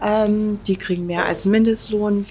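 A woman with a medium pitch and fairly even intonation talks at a fairly slow pace. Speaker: restaurant owner. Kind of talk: casual interview. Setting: restaurant. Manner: hesitant, many filler words.

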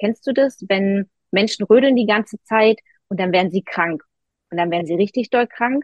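In an unremarkable speaking voice, a woman talks at a medium pitch and moderate pace, varying her pitch in an ordinary way. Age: 40s. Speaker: nutrition counselor and mental coach. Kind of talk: casual interview, personal story.

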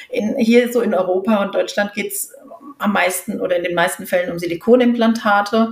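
A woman with a fairly high pitch at a moderate pace, over noticeable background noise. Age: 50s. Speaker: patient advocate, association founder. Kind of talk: interview.

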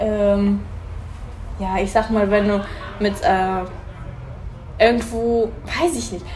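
Over noticeable background noise and audible room echo, a woman talks at medium pitch. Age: 30s. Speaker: hairdresser. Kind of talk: casual chat. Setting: hair salon. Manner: halting, many fillers.

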